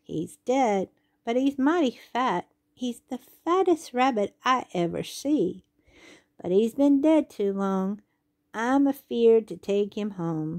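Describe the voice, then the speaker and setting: A woman puts on a character voice in a Southern US accent. She speaks at a fairly slow pace. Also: quiet background. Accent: rural Southern dialect. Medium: read story.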